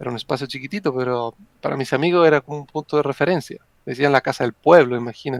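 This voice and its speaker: A man with a fairly high pitch speaks at a very fast pace with big swings in loudness, in a dry, close sound with no echo. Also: ordinary pitch variation. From Italy. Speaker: psychologist and wargamer. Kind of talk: podcast interview.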